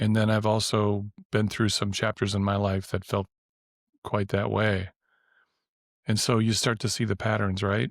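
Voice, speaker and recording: A man with an American accent speaks at a moderate pace in a fairly low, flat monotone, with very even loudness and long, frequent pauses. The recording is very clean with a silent background, dry and close with no echo. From US Midwest (Wisconsin). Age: 50s. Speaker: professor and health coach trainer. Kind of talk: podcast interview. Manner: halting, repeats words.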